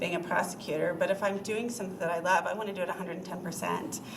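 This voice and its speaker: Audible room echo surrounds a woman's fairly low-pitched voice. Her intonation stays fairly even. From New England. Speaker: lawyer, former prosecutor, job candidate. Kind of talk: interview before city council. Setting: city council meeting. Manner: many filler ums.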